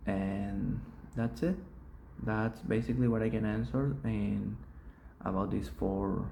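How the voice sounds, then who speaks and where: A man's fairly low, dark, mellow voice, somewhat breathy, with very wide pitch swings, a Spanish accent and a very slow pace, in audible room echo. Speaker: student. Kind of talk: oral exam reflection. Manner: halting, with pauses.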